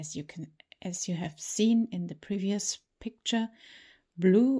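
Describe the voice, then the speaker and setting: On a very clean recording with a silent background, a woman with a non-native accent speaks in a dark, mellow, somewhat breathy tone with ordinary pitch variation. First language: not English. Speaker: toy collector and reviewer. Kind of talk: unboxing tutorial. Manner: casual, slightly halting.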